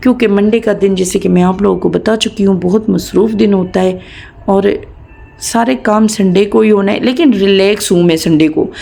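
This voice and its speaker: Over noticeable background noise, a woman talks at a moderate pace with a medium pitch, ordinary pitch variation and very even loudness. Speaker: family vlogger. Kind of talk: casual vlog narration.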